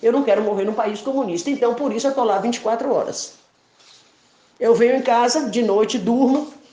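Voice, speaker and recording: A woman's fairly high, animated voice at a fairly quick pace, with audible room echo and noticeable background noise. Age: 60s. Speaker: protester. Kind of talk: voice message rant.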